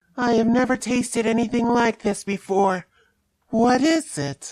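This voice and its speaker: A female-sounding, put-on character voice sits at a fairly high pitch for a woman. It moves at a moderate pace. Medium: machinima. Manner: formal, no contractions.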